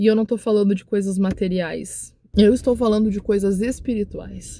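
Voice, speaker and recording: A woman speaks at a moderate pace and medium pitch in a monotone, flat intonation. Her tone is dark, mellow and somewhat breathy. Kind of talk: devotional talk to camera. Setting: recording to camera. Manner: emotional; repetitive exhortation.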